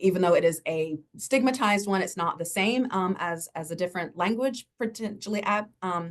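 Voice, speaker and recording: A woman with a Southern US accent speaks with lively intonation. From US South. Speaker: university lecturer. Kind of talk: panel discussion. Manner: fast.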